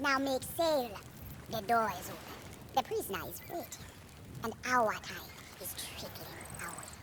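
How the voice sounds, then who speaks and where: A put-on character voice with a fairly high pitch moves at a moderate pace with long, frequent pauses over clear background noise. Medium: video game. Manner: cryptic, ominous.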